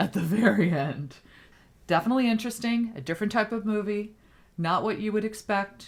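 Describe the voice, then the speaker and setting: A somewhat breathy woman speaks at a fairly quick pace and a fairly high pitch, varying her pitch in an ordinary way. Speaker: podcast co-host. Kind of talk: casual chat.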